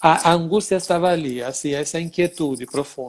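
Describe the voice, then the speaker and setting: A man speaks with an Italian accent. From Italy (Sicily). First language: Italian (speaking Portuguese). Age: 60s. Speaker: dance teacher. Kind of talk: interview.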